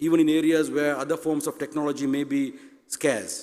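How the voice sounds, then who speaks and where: In a Tamil accent, a man with a fairly high pitch speaks at a very fast pace with fairly even intonation. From Sri Lanka. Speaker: university president. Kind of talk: conference speech. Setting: stage with audience.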